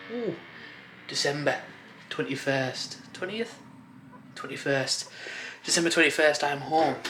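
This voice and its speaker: Lively intonation is broken up by long, frequent pauses, with audible room echo and noticeable background noise in the recording. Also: man. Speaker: vlogger. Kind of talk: casual vlog. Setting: basement room, then outdoors. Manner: whispering a bit; casual, filler-heavy.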